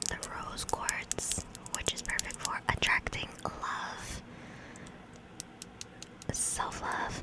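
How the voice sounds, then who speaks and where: A woman whispers at a very slow pace with long, frequent pauses. Noticeable background noise sits behind her. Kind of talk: ASMR oracle reading and love poems for bed. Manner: whispered, soft-spoken.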